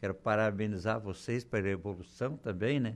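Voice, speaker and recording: The man talks at a fairly quick pace in a plain, everyday voice. His pitch is fairly low and his intonation fairly even. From southern Brazil, Torres (Rio Grande do Sul). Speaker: businessman. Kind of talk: radio interview. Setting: radio studio.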